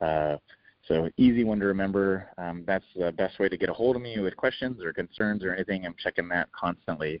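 Fairly quick and with an American accent, a man speaks. His voice is very deep and low, with ordinary pitch variation. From San Diego, California. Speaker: executive chef. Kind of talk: interview. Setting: phone call. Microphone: phone line, drops out.

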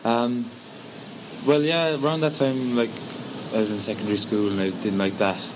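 In a Cork accent, a man speaks with ordinary pitch variation against noticeable background noise. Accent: Cork Irish. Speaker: singer-songwriter. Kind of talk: interview. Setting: outdoors in a sea cave.

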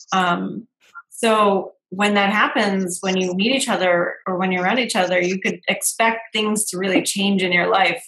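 A woman with a plain, everyday voice speaks at a moderate pace. Her pitch is medium and her intonation fairly even. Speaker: video show host. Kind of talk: casual interview chat.

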